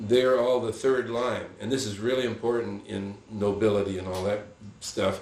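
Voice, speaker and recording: A man's medium-pitched voice, with intonation that stays fairly level, carries audible room echo. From Santa Barbara, California, after early childhood in France and Spain. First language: Spanish. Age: 90s. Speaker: retired bush pilot. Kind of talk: casual storytelling interview. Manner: halting, with frequent restarts.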